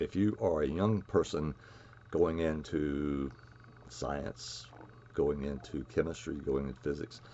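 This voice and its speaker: The man's pitch is very deep and low, and he talks at a fairly slow pace. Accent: Southern US. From US South, North Carolina (near Raleigh). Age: 70s. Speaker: chemist. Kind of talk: lecture. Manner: halting.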